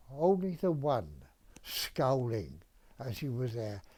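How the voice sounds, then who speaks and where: On a very clean recording with a silent background, a man talks at medium pitch with a Welsh accent. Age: 80s+. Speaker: retired dentist. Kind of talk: interview answer, reminiscence.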